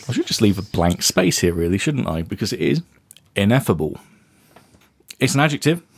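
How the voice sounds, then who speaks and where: A man with an English accent and vocal fry speaks with very wide pitch swings. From England. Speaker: podcast co-host, tabletop gamer. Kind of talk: casual chat.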